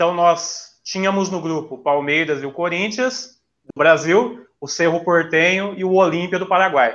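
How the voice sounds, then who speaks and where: A man with high pitch, ordinary pitch variation and a fairly slow pace. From Maringá, northern Paraná, Brazil. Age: 30s. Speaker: teacher, football fan guest. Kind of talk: casual chat.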